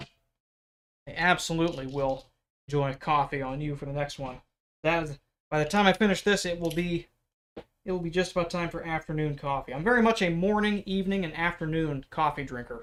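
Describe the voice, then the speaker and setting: A man talks loudly at a high pitch and a fairly quick pace, with ordinary pitch variation. He leaves long, frequent pauses. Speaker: leatherworker. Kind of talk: live stream craft tutorial and chat.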